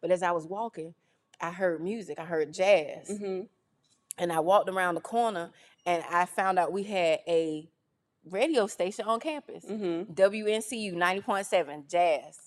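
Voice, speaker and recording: With a North Carolina accent, a woman talks at a fairly slow pace. Her pitch is medium. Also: ordinary pitch variation. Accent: Southern US (North Carolina). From US South, rural northeastern North Carolina. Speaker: radio personality and esthetician. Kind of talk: interview, casual chat. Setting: video podcast studio, recorded on camera.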